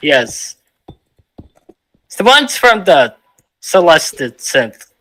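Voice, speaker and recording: Loud and bright with a sharp edge, this man's high voice swings very widely in pitch as he talks at a very slow pace. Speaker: streamer. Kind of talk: casual chat. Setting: live stream.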